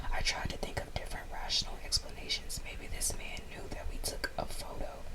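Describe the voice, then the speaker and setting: A woman whispers at a fairly quick pace. Noticeable background noise is present. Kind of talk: story reading. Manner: whispered.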